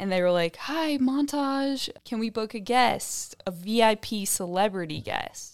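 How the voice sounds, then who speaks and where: With an American accent, a woman talks at a fairly slow pace in a fairly high pitch, her intonation lively and hardly any pauses breaking it up. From Indiana, US Midwest. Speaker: wine hospitality worker. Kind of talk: casual chat.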